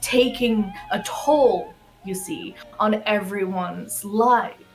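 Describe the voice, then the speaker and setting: A woman with an American accent speaks at a fairly high pitch with ordinary pitch variation, amid noticeable background noise and audible room echo. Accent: American-sounding, learned. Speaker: fan presenter on a game livestream. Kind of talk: casual livestream presentation.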